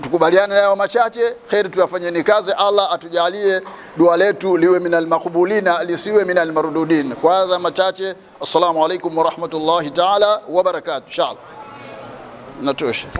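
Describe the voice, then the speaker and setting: The delivery has fairly even intonation at a moderate pace. Light background noise sits behind it. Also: man, high pitch for a man. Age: old. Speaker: mosque elder; sheikh giving a new-year address. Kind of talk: greeting address with supplication. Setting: mosque. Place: church. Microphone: lapel.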